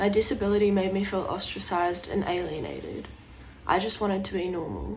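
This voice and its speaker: A woman talks at a fairly quick pace with vocal fry and monotone, flat intonation. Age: young. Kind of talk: personal story told to camera.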